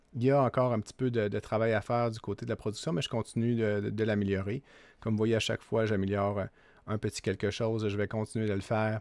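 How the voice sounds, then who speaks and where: A man with a strong Quebec accent speaks at a medium pitch and a fairly quick pace, the sound dry and close with no echo on a very clean recording over a silent background. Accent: Québécois French, strong. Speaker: political commentator, channel owner. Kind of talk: casual vlog commentary. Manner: hesitant, many filler 'euh'.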